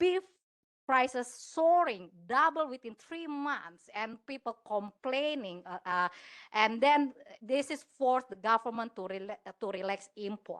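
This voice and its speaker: A woman speaks at a high pitch and a fairly slow pace, with lively intonation and big swings in loudness. The sound is dry and close with no echo, over a quiet background. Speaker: law academic. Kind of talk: conference presentation. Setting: conference panel. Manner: hesitant, many fillers.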